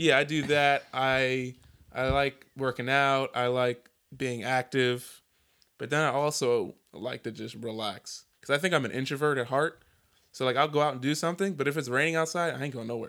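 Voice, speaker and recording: An unremarkable speaking voice goes at a moderate pace with fairly even intonation. The recording is very clean, with a silent background. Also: man, medium pitch for a man. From Philadelphia / New Jersey, US. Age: 20s. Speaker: podcast host. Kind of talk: casual chat.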